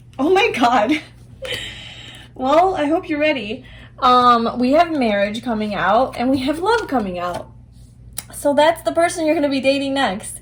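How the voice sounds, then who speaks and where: Amid noticeable background noise, a woman with a high voice speaks at a moderate pace, swinging her pitch very widely and taking long, frequent pauses. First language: not English. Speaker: tarot reader. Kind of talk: tarot reading to camera. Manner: halting, searching for words; casual, conversational.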